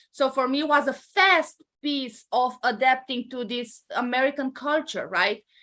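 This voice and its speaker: In a Romanian accent, a woman projects a raised, high-pitched voice with a bright, sharp tone. She talks at a fairly slow pace with hardly any pauses and ordinary pitch variation. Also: quiet background. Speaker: entrepreneur. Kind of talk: interview. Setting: live stream.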